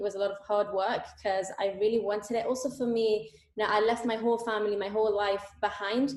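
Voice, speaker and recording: A woman with an Italian accent speaks at a fairly quick pace. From Italy. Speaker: economics student and intern. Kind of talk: interview. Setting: video call.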